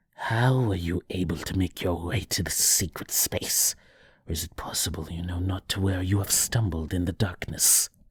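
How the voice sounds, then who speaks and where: Using a put-on character voice, a man hisses at a very deep, low pitch. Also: moderate pace. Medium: read story. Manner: archaic, menacing, riddling.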